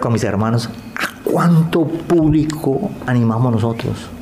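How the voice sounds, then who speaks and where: A man talks at medium pitch with ordinary pitch variation. Noticeable background noise and an audible room echo are present. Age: 50s. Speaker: clown. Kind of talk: interview.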